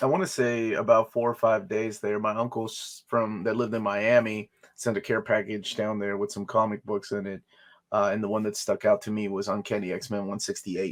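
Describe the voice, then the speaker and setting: Speaking with a Spanish accent, a man keeps a fairly quick pace. His fairly low voice has fairly even intonation. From Peru. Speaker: comic collector and YouTuber. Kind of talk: casual interview chat.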